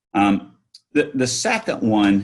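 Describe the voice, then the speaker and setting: A man with a Southern US accent, very slow in pace but lively in intonation. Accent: Southern drawl. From North Carolina, Yadkin County. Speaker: entrepreneur. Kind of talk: interview.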